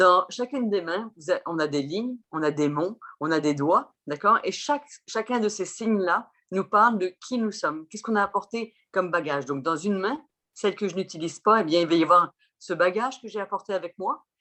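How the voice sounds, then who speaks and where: Using an ordinary speaking voice, a woman speaks at a fairly quick pace and medium pitch with lively intonation. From France. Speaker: chirologist and Vedic astrologer. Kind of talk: interview explanation.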